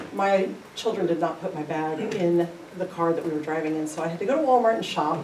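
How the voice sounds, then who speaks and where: A woman's fairly low voice with an American accent, fairly quick pace and ordinary pitch variation, plus noticeable background noise and audible room echo. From US Midwest, Independence, Missouri. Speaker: teacher. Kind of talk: school presentation.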